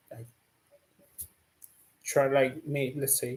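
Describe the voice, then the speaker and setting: Speaking in an Italian accent, a man has a relaxed tone that is dark and mellow. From Italy. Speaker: painter and streamer. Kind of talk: casual live stream exploration. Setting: live stream with screen share. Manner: halting, many fillers; slow, relaxed.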